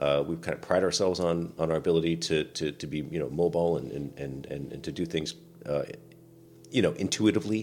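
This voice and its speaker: Over music in the background, a man with an American accent talks very fast in a very deep, low pitch with ordinary pitch variation. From US Pacific Northwest, rural island near Seattle. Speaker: podcast co-host, navy veteran. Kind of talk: casual chat.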